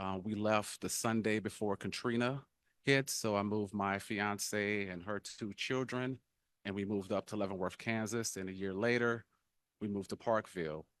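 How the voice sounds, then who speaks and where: In a very clean recording with a silent background and a dry, close sound with no echo, a man speaks at a moderate pace with a fairly low pitch and fairly even intonation. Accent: New Orleans. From New Orleans, Louisiana. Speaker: political candidate. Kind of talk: candidate forum speech. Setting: town hall forum in church fellowship hall. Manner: halting, many fillers.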